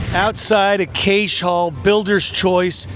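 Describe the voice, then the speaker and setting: Against crowd noise in the background, a man speaks at a high pitch with an animated tone and ordinary pitch variation. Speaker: car show host. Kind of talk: event walkaround interview.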